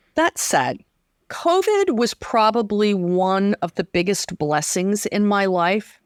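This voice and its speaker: Her voice medium in pitch with lively intonation, a woman speaks in an unremarkable speaking voice with a dry, close sound and no echo. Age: 60s. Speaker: weaving and sewing teacher. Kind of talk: interview.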